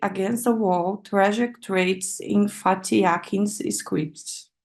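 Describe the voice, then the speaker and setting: A woman with a Brazilian Portuguese accent and a medium pitch speaks at a very slow pace with lively intonation against a quiet background. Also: hardly any pauses. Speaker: PhD researcher. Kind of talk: academic seminar talk. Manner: halting, with many fillers.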